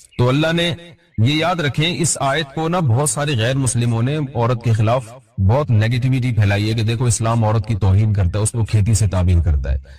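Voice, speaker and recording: A man speaks at a medium pitch with lively intonation. Noticeable background noise sits behind him. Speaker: Islamic scholar giving a sermon. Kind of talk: Islamic sermon (bayan) lecture.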